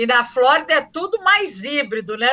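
At a moderate pace, a woman with a high pitch speaks in a raised, projected voice with a bright, sharp tone. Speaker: podcast moderator and journalism professor. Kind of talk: moderated panel discussion.

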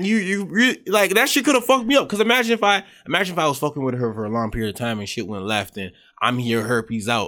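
A man talks at a very fast pace in a fairly high pitch, his voice swinging very widely. His tone is bright and sharp, on a very clean recording with a silent background. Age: 20s. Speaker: podcast host. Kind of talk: casual chat.

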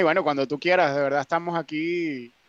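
With a quiet background and a dry, close sound without echo, a man speaks very fast with fairly even intonation. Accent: Venezuelan. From Venezuela. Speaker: migrant. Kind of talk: casual chat.

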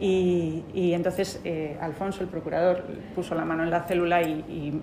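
In a recording with audible room echo and noticeable background noise, a woman speaks with a fairly low pitch. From Bilbao, Basque Country, Spain. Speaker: lawyer. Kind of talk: casual storytelling. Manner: halting, many repeated words.

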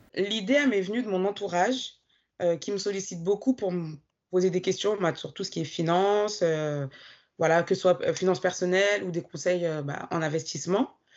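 Here a woman talks at a moderate pace. Her medium-pitched voice has ordinary pitch variation. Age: 30s. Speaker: bank team manager and personal finance coach. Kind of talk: interview testimony. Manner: hesitant, many fillers.

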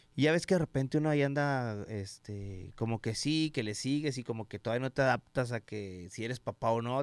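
With ordinary pitch variation and hardly any pauses, a man speaks at medium pitch in dry, close sound with no echo. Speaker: former radio host. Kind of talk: casual chat. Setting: studio.

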